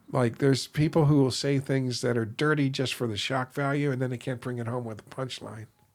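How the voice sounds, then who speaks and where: An ordinary speaking voice at a fairly quick pace with fairly even intonation and hardly any pauses, on a very clean recording with a silent background. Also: man, medium pitch for a man. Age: 60s. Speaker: retired federal agent and stand-up comic. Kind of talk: casual interview chat.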